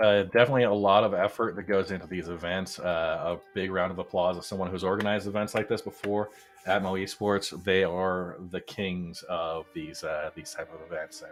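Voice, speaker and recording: Over noticeable background noise, a man talks at a fairly quick pace with big swings in loudness. His very deep, low voice keeps a fairly even intonation. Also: hardly any pauses. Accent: American. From United States. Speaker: esports race commentator. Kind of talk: live commentary. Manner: casual, hesitant with fillers.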